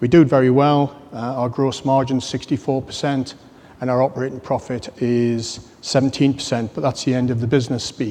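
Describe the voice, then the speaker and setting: Speaking fairly quickly with a British accent, a man keeps his intonation monotone and flat. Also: medium pitch for a man. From UK. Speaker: business executive. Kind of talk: conference talk.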